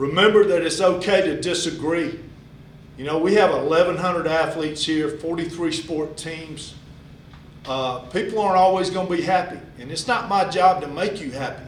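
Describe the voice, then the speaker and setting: Amid noticeable background noise and audible room echo, a man speaks at a moderate pace in a high pitch, with ordinary pitch variation. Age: 60s. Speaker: high school athletic director. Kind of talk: address to parents.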